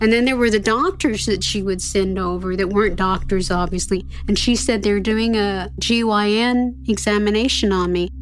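An unremarkable speaking voice from a woman at medium pitch and moderate pace, with hardly any pauses. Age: 60s. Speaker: abuse survivor, daughter of the family. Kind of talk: interview testimony.

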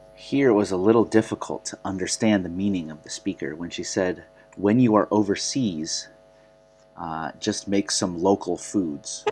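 A man talks in a normal speaking voice at a fairly low pitch and moderate pace, with ordinary pitch variation. His loudness swings widely. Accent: General American. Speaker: English teacher. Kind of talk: language lesson, explaining and correcting. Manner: clear, teacherly.

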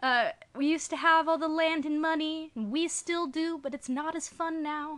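A woman's extremely high pitch at a moderate pace. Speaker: podcast host. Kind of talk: casual chat.

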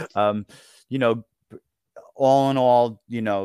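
A man with a New York accent speaks at a fairly slow pace with fairly even intonation, in a dry, close sound with no echo on a very clean recording with a silent background. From US Northeast, Long Island, New York. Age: 50s. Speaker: author and retired teacher. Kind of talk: interview. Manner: halting, many fillers.

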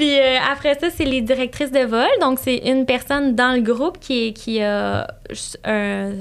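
A woman speaks in a Quebec accent with a high pitch. Her pitch varies in an ordinary way. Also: fairly slow pace. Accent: Québécois French. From Quebec, Saint-Hyacinthe south of Montreal. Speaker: flight attendant. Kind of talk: casual interview.

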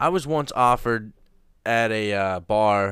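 A Minnesotan accent with ordinary pitch variation, in a very clean recording with a silent background. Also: man. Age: 20s. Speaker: podcast host. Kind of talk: casual chat. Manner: crude joking.

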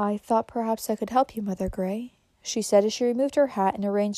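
Here, a text is read aloud in a natural voice.

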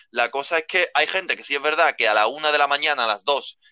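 A man with a bright, sharp tone and fairly high pitch talks at a fairly quick pace, the sound dry and close with no echo. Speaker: hospitality worker. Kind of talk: casual chat. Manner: halting.

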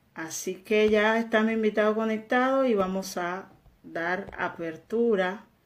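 Ordinary pitch variation from a woman speaking at a very slow pace. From Dominican Republic. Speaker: online faith and health show host. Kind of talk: live religious interview.

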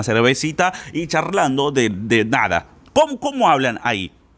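A man speaks with a fairly high pitch. His tone is animated. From Brazil. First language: Portuguese (speaking Spanish). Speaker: Spanish teacher. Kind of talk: podcast monologue.

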